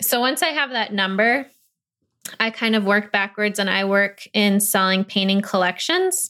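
A woman speaks in a bright, sharp tone. The recording is very clean, with a silent background. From Michigan, Grosse Pointe (US Midwest). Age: 20s. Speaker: painter. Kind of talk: interview.

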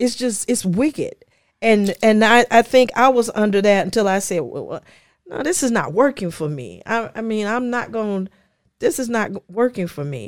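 With an American accent, a woman has an ordinary speaking voice, fairly high in pitch, at a moderate pace. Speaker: business consultant, former hotel professional. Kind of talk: casual interview conversation.

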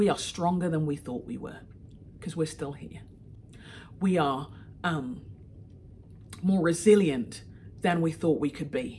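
A woman with a London accent and a fairly low voice, speaking at a fairly slow pace, with long, frequent pauses, ordinary pitch variation and big swings in loudness. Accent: British English (London). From London, England. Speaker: author and leadership coach. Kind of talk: recorded talk to a moms' group.

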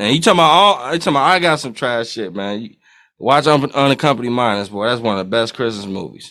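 In a very clean recording with a silent background, a man at medium pitch speaks very fast with a bright, sharp tone and lively intonation. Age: 20s. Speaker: podcast co-host. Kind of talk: casual chat.

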